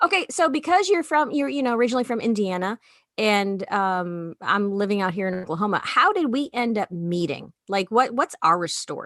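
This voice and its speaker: The pitch swings very widely in an American accent. The sound is dry and close, with no echo. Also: woman, fairly high pitch for a woman, moderate pace. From Chicago suburbs, US Midwest. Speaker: podcast co-host, comedian. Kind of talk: casual chat. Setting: at home.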